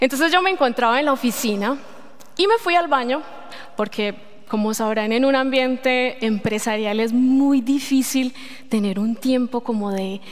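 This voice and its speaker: A woman speaks with a Colombian accent at a fairly slow pace. Her pitch is high. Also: ordinary pitch variation. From Colombia, Medellín. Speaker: lay preacher. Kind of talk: sermon. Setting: church. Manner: halting.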